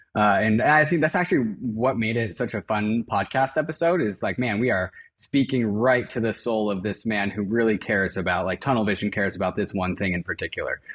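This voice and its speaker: A man speaks at a fairly quick pace in an ordinary speaking voice. His pitch is fairly low, with ordinary pitch variation. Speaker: podcast co-host. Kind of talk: podcast interview.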